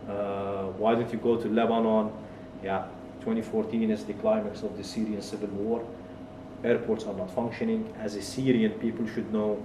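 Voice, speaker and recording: A man speaks in a fairly low pitch with monotone, flat intonation. There is audible room echo and noticeable background noise. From Kuwait. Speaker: tech entrepreneur and author. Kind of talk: interview, personal life story.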